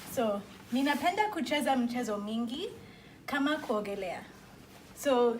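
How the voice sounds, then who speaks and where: Audible room echo surrounds a woman with an East African accent who speaks at a very slow pace, her high pitch rising and falling with lively intonation. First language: Swahili. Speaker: student. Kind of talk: class presentation. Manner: halting.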